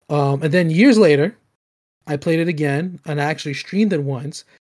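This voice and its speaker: A man speaks with a fairly high pitch. The recording is very clean, with a silent background. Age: 20s. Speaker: gaming podcast host. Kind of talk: casual chat. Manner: halting.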